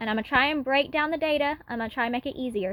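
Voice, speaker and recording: A woman's high-pitched voice with ordinary pitch variation and a dry, close sound with no echo. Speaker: finance YouTuber. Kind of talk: tutorial. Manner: fast.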